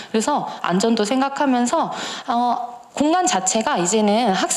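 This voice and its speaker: A woman's high-pitched voice at a moderate pace, with audible room echo and noticeable background noise. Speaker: lecturer for parents. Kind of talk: lecture.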